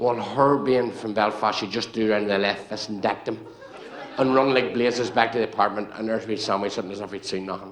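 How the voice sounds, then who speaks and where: A man speaks at a very fast pace with a Northern Irish accent, with audible room echo and crowd noise in the background. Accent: Northern Irish (Ulster). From Northern Ireland, Banbridge, County Down. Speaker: comedian. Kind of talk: stand-up. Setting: stage with audience. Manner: animated.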